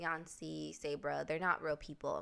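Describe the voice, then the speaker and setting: A woman speaks in a Chicago accent. Her pace is moderate. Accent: Chicago vowels. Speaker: film review youtuber. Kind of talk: casual video commentary.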